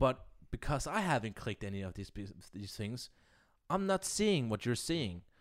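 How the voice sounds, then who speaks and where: At a moderate pace and medium pitch, a man speaks with very wide pitch swings in a very clean recording with a silent background. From Denmark. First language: Danish. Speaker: podcast co-host and editor. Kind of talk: casual chat.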